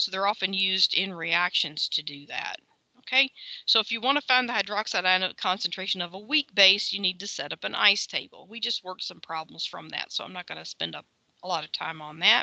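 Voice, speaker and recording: A woman talks fairly quickly, her loudness swinging widely. The sound is dry and close, with no echo. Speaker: chemistry lecturer. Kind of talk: lecture. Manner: fast; casual, filler-heavy.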